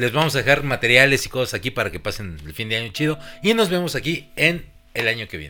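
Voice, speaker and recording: Over music in the background, a man with a Mexican accent talks at a very fast pace in an animated tone, with very wide pitch swings and big swings in loudness. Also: medium pitch for a man. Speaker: podcast host. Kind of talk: casual chat.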